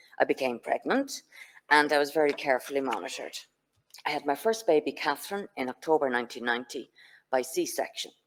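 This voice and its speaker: A woman with a Dublin accent, very deep and low in pitch, at a very fast pace with lively intonation. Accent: Irish, Dublin. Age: 60s. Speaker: patient speaker. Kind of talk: personal testimony talk. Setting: conference venue with audience, streamed online.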